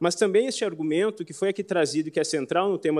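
This man's voice sits high in pitch. It carries ordinary pitch variation. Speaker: public defender. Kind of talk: oral argument. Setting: court plenary session. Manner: formal.

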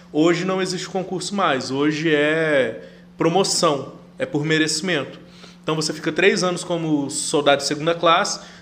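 Audible room echo surrounds a man with a fairly high voice. He talks at a moderate pace with fairly even intonation. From Brazil, Rondônia (interior, São Felipe do Oeste). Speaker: chef and air force serviceman. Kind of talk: casual interview.

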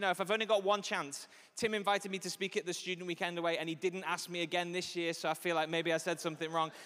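Speaking in an animated tone, a man with a Liverpool accent has a high pitch. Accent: Scouse (Liverpool). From Liverpool, England. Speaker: pastor. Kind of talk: sermon. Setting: church stage with audience.

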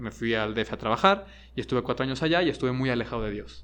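A man talks at a moderate pace and medium pitch, with vocal fry. His intonation is lively, and the background is quiet. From Mexico, Guadalajara. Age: 30s. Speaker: high school teacher and podcast co-member. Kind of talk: casual interview. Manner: halting, many fillers and repetitions.

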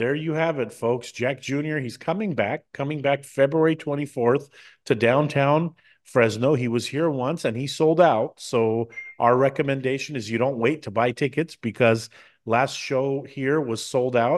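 A man with an ordinary speaking voice, an American accent, a fairly high pitch, ordinary pitch variation and a moderate pace, over a quiet background. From United States. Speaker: TV and radio talk show host. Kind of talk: interview.

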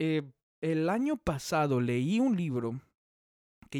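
Heard in a dry, close sound with no echo on a very clean recording with a silent background, a man speaks very slowly in a fairly high pitch with lively intonation. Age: 30s. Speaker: evangelical pastor and podcast host. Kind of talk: solo podcast talk, sermon-like. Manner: halting, with fillers and repetitions.

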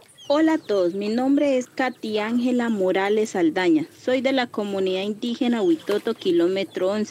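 An ordinary speaking voice from a woman, fairly high in pitch, with lively intonation, a moderate pace and hardly any pauses. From Colombian Amazon, Leticia. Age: young. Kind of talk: scripted promotional presentation.

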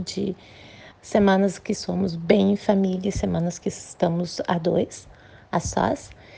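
A somewhat breathy woman's voice at medium pitch and a fairly slow pace. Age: 40s. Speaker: nurse. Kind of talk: recorded testimony.

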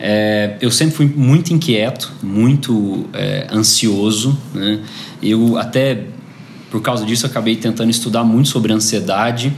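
Amid noticeable background noise and audible room echo, a man of medium pitch talks at a fairly slow pace with ordinary pitch variation. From Brazil, Goiás (Goiânia). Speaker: entrepreneur. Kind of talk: interview.

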